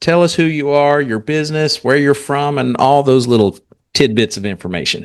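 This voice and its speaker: A man with a slight Southern US accent and a fairly high pitch speaks at a moderate pace with lively intonation. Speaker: podcast host. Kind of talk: casual interview.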